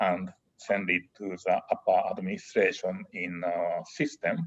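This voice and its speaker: A man talks at a very slow pace. He speaks with a Japanese accent. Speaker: engineering professor and dean. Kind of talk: interview. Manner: halting.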